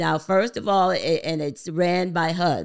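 Fairly low, fry-tinged speech from a woman at a moderate pace, on a very clean recording with a silent background. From New Jersey, Paterson. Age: old. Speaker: real estate investor and lender. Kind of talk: interview, explanatory.

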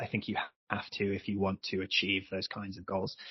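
Fairly low-pitched, a man with an English accent talks at a fairly quick pace. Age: 30s. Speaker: ultimate frisbee player. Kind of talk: podcast interview. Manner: halting.

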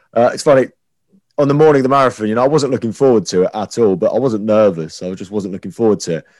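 Speaking at a very fast pace, a man of medium pitch uses lively intonation. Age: 20s. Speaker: radio presenter. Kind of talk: casual chat.

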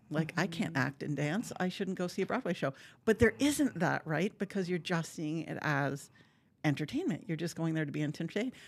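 Using an Upper Peninsula Michigan accent, a woman talks at a fairly quick pace. Her pitch is fairly low and her intonation lively. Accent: Upper Midwest (Yooper). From Upper Michigan (Marquette). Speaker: symphony orchestra executive director. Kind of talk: casual interview.

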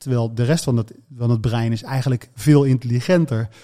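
Speaking in an ordinary speaking voice, a man holds a medium pitch with ordinary pitch variation. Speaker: radio presenter and speaker on brain topics. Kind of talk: casual interview conversation.

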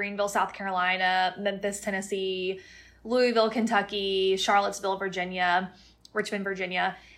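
A woman with an unremarkable speaking voice talks in an American accent at a medium pitch and a fairly quick pace. Her intonation is fairly even, and the recording is very clean with a silent background. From Florida (Plant City, near Tampa). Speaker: real estate company CEO. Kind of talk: interview.

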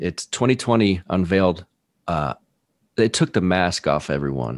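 Very deep and low, a man's voice carries an American accent, vocal fry and lively intonation at a fairly slow pace. The recording is very clean with a silent background, and the sound is dry and close with no echo. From Texas. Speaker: firefighter and podcaster. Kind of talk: casual chat.

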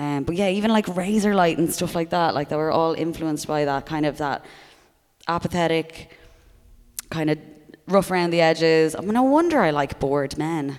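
With an Irish accent, a woman speaks at a moderate pace in a fairly low pitch with ordinary pitch variation. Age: 30s. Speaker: comedian. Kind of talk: casual chat. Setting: stage with audience.

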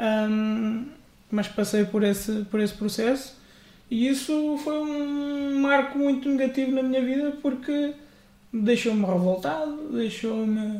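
A man's extremely high voice at a very slow pace, with ordinary pitch variation. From central Portugal. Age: 30s. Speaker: church member, former Bible institute student. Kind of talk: casual interview.

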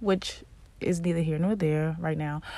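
The background is silent and the recording very clean. Only a woman's voice is heard. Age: 20s. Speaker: vlogger. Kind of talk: casual personal monologue.

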